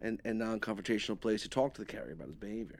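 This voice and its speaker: A man with a New York accent and a medium pitch talks very fast on a very clean recording with a silent background. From New York, Queens. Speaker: moving company owner. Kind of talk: casual chat.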